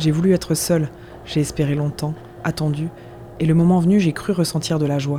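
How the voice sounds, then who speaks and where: The voice moves at a moderate pace with long, frequent pauses over noticeable background noise. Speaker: reader of prison writings. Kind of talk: literary narration, dramatic reading aloud of prison journal.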